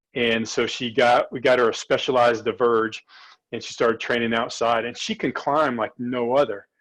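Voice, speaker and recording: Using a normal speaking voice, a man talks at a moderate pace with fairly even intonation and a medium pitch. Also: quiet background. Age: 60s. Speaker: cycling coach and exercise physiologist. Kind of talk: casual chat.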